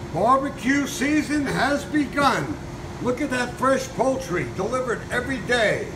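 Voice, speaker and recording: An extremely high-pitched man at a fairly slow pace, with ordinary pitch variation and noticeable background noise. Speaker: butcher shop owner. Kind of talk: street-seller-style sales pitch, rattling off meat cuts like a market barker. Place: shop. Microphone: phone near.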